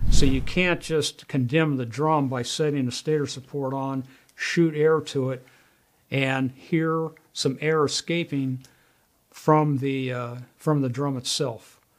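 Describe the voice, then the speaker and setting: A man speaks at a very slow pace against a quiet background. His intonation is fairly even. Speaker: presenter. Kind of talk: tutorial. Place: studio.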